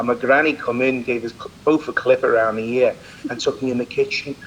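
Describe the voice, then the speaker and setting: Man at a moderate pace against noticeable background noise. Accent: English. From England. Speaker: celebrity chef. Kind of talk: interview. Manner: animated.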